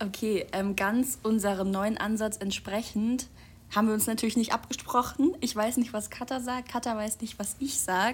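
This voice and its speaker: At a moderate pace, a woman speaks in a somewhat breathy, fairly high voice with fairly even intonation. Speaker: podcast co-host, student. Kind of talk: casual chat. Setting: home recording in a flat.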